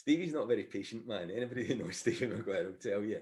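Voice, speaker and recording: A man with a Scottish accent, somewhat breathy, at a fairly quick pace with very wide pitch swings. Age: 60s. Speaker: sports announcer. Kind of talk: casual chat.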